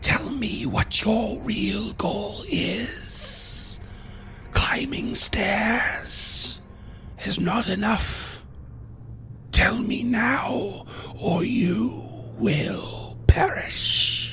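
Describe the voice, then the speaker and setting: In a put-on character voice, a man talks at a very slow pace with long, frequent pauses, over clear background noise and hissing. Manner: menacing, threatening.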